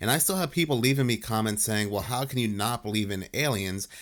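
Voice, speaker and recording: A man with a New Jersey accent speaks at medium pitch with ordinary pitch variation. The recording is very clean, with a silent background. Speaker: conspiracy commentary youtuber. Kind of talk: video commentary.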